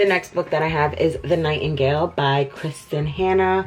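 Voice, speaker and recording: A woman with an American accent speaks at a moderate pace with ordinary pitch variation as music plays in the background. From New York, USA. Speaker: book reviewer. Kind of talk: casual talk to camera.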